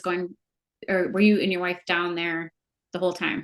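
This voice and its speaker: A woman at a medium pitch, in a Wisconsin accent, against a quiet background. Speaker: interviewer, former kickboxing instructor. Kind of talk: interview.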